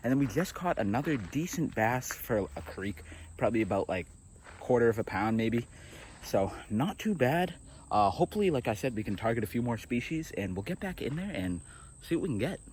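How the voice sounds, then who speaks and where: This man talks at a fairly quick pace in a somewhat breathy voice, his pitch swinging very widely. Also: medium pitch for a man. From Boston, Massachusetts. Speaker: fishing youtuber. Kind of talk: casual vlog commentary. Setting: outdoors by a creek. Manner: quiet, subdued while catching fish.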